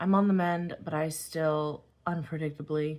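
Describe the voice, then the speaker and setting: A woman is speaking. Her tone is dark and mellow. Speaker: craft YouTuber. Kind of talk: casual craft tutorial chat.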